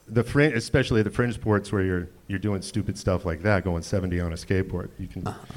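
Against noticeable background noise, a man with a fairly low pitch and ordinary pitch variation talks at a fairly quick pace with hardly any pauses. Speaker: comedian. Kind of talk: stand-up. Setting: stage with audience.

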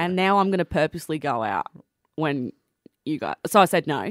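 The voice carries an Australian accent, with a dry, close sound with no echo on a very clean recording over a silent background. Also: woman. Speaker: radio breakfast host. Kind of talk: casual chat.

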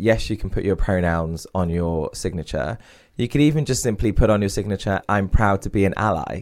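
A man with an East Midlands accent, fairly low in pitch, ordinary pitch variation, a fairly quick pace, and a very clean recording over a silent background. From England, Derby (East Midlands). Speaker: CEO and author on diversity and inclusion. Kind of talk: podcast interview.

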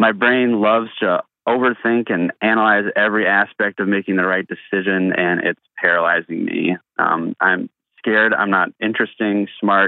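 A man talks at a moderate pace in an ordinary speaking voice, his fairly low pitch carrying fairly even intonation. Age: 20s. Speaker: aspiring filmmaker. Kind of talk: recorded voicemail question.

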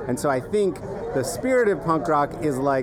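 With crowd noise in the background and audible room echo, a man with a fairly high voice talks at a moderate pace. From Torrington, Wyoming. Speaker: educator, education nonprofit founder. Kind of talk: casual chat. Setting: outdoors in a yard.

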